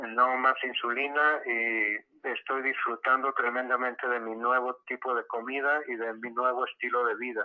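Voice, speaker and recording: The speech moves at a fairly slow pace. Its intonation is monotone and flat. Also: man, medium pitch for a man. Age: 70s. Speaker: patient giving testimony. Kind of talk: testimony.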